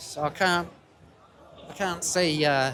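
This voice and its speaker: At a very slow pace, a man with an English accent speaks in a fairly high pitch. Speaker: livestreamer at a street protest. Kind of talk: live walkaround commentary. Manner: loud, shouting over noise.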